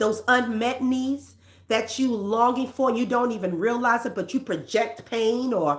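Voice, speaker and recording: A woman talks in a New York accent at a moderate pace. Her pitch is fairly high. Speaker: counselor and self-help host. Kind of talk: self-help talk.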